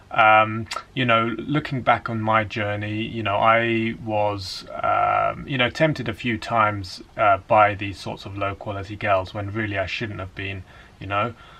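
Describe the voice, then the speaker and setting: Over noticeable background noise, a man with a fairly low pitch talks at a fairly slow pace, his intonation fairly even while his loudness swings widely. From England. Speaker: dating coach. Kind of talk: casual talk to camera.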